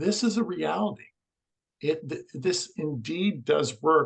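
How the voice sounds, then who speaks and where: A man's fairly slow, lively-toned delivery with vocal fry. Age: 60s. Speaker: alternative energy healer. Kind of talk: interview.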